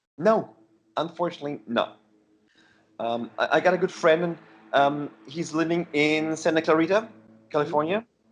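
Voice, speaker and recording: A man talks at a fairly high pitch and a moderate pace with ordinary pitch variation. He leaves long, frequent pauses. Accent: German. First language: German. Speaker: heavy metal musician. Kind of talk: casual interview. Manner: halting.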